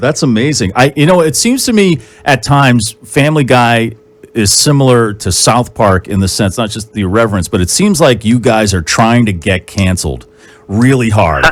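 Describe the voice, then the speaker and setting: A man with an ordinary speaking voice talks at a moderate pace, his medium-pitched delivery marked by lively intonation. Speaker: radio host. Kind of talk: radio interview questions.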